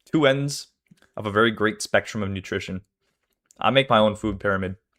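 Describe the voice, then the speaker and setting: A quiet man at a moderate pace. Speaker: streamer reacting to a video. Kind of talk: casual live-stream chat. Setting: live stream with chat.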